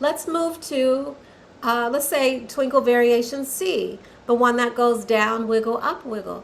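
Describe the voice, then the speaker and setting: Fairly slow speech with ordinary pitch variation, audible room echo and noticeable background noise. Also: woman, high pitch for a woman. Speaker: violin teacher. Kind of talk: tutorial.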